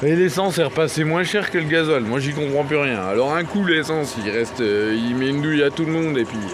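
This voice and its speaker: A man talks at a fairly quick pace with hardly any pauses, his pitch fairly high and its variation ordinary. There is audible room echo and noticeable background noise. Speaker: van life vlogger. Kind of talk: casual vlog. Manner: animated.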